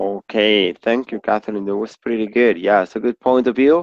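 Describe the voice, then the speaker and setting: The sound here is dry and close, with no echo. A man speaks with ordinary pitch variation. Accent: Spanish. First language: Spanish. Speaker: English teacher. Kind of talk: online class.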